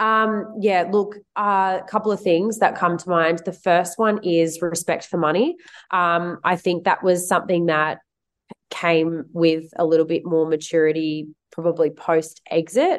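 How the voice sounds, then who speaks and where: A woman with a plain, everyday voice, fairly low pitch, fairly even intonation and a fairly slow pace. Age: 30s. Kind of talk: interview.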